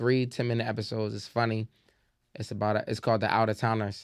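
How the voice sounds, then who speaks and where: Delivered at a fairly quick pace with a Baltimore accent, the speech is monotone and flat, on a very clean recording with a silent background. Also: man. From Baltimore, Maryland. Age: 30s. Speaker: comedian. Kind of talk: casual interview chat.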